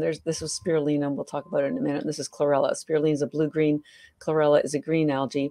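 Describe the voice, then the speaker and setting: This woman speaks with a Canadian accent. The background is quiet. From Canada. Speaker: health entrepreneur; podcast guest. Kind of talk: interview. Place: home room. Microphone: video call.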